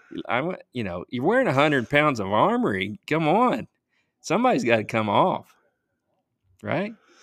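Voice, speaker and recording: A man's relaxed, fairly high voice with vocal fry, very wide pitch swings and long, frequent pauses, on a very clean recording with a silent background. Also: moderate pace. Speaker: podcast co-host. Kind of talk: casual banter podcast chat. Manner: relaxed, conversational.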